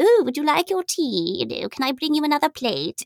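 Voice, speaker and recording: This is a put-on character voice with a high pitch. It moves at a fairly quick pace. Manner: silly, playful.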